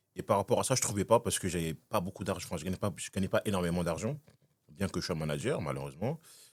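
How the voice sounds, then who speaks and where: A man talks at a very fast pace with a very deep, low pitch and lively intonation, the sound dry and close with no echo. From Congo, moved to France at about 16. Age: 20s. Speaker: podcast guest, tenant. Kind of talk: casual interview chat.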